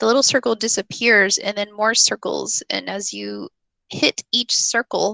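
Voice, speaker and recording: Heard against a quiet background with a dry sound and no echo, a woman with a fairly high voice speaks at a fairly slow pace. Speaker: teacher trainer / educational technology presenter; teacher trainer, presenter. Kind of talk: tutorial. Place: home room. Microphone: headset.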